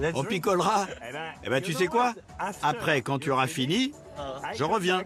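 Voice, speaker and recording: Music plays in the background as a high-pitched man speaks. His pace is fairly slow and his intonation lively. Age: 60s. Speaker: travel documentary host. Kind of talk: casual chat.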